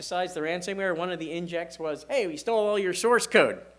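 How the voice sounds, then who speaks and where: There's audible room echo as a man speaks fairly quickly in a high voice. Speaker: security director giving a conference talk. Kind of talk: conference presentation. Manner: fast.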